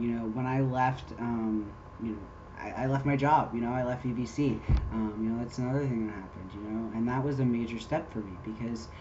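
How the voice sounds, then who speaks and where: A man at medium pitch and a fairly quick pace, fairly even intonation, with audible room echo and noticeable background noise. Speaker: vlogger. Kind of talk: personal vlog update. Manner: many fillers, talkative.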